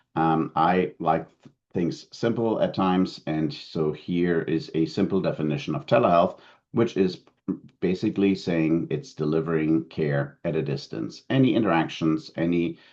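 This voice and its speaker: A man speaks with a German accent at a moderate pace. His pitch is very deep and low. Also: ordinary pitch variation. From Germany. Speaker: telehealth consultant, keynote speaker. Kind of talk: conference keynote presentation. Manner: frequent fillers and self-corrections.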